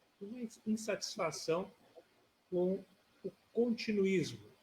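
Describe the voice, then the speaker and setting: Speaking very slowly, a man with a high voice keeps his intonation fairly even in a dark, mellow tone. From southern Brazil, Rio Grande (RS). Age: 60s. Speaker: retired judge, political candidate. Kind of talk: interview.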